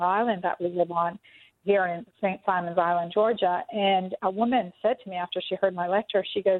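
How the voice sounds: Recorded dry and close with no echo, a woman speaks at a fairly quick pace with fairly low pitch and fairly even intonation.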